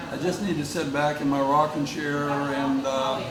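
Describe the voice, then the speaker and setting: Through noticeable background noise and audible room echo, a man with a fairly high pitch talks at a moderate pace. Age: 80s+. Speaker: long-distance kayaker. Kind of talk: interview. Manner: halting, many fillers.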